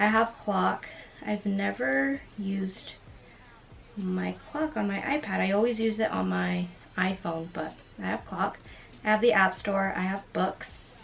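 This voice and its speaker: Long pauses come often as a woman talks. The background is noticeably noisy. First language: Spanish. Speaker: lifestyle YouTuber. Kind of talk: casual tech walkthrough vlog.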